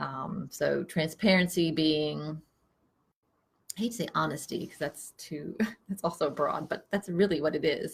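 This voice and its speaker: The speaker is quiet and somewhat breathy, talking at a fairly slow pace with ordinary pitch variation. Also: woman. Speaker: psychotherapist. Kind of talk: casual chat. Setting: office. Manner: quiet, low talker. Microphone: no microphone.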